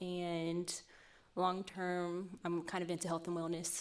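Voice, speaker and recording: Using an unremarkable speaking voice, a woman talks at a fairly quick pace in a medium pitch. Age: 20s. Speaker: dating show contestant, consultant and model. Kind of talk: casual chat.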